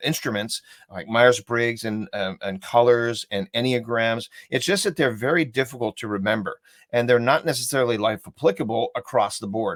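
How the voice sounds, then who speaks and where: A man with a plain, everyday voice, medium pitch, ordinary pitch variation and a moderate pace, on a very clean recording with a silent background. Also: dry, close sound with no echo. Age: 60s. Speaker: human behavior coach and trainer. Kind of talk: interview on live video chat.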